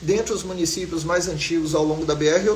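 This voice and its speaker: A man talks at a fairly quick pace with ordinary pitch variation, while audible room echo and noticeable background noise fill the recording. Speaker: geography teacher. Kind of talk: live online class. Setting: live stream. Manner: fast.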